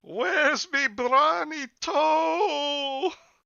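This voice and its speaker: A high-pitched put-on character voice. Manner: eerie, menacing.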